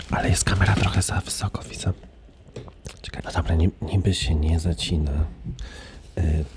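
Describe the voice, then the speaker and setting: A man whispering, soft-spoken, at a moderate pace over noticeable background noise. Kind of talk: casual talk to camera. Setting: ASMR video while eating sunflower seeds. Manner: soft-spoken, whispered.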